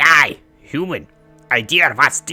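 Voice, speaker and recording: A raspy, put-on character voice carries a menacing tone over faint music in the background. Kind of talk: archaic, broken speech. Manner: alien, menacing.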